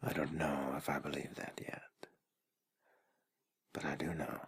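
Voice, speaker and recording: The speaker is whispering. The pace is very slow. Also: man. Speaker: ASMR artist. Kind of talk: guided sleep ASMR. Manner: soft-spoken, whispered.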